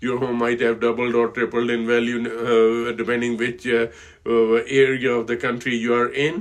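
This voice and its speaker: A man with an Indian accent speaks at a medium pitch and a moderate pace. His intonation is monotone and flat. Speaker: financial advisor. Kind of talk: casual talk to camera. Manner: halting, many fillers.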